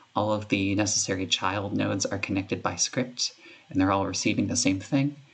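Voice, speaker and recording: A man's fairly low pitch with ordinary pitch variation at a fairly quick pace, amid noticeable background noise. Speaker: game developer. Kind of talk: screen-recorded coding tutorial. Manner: casual, hesitant with fillers.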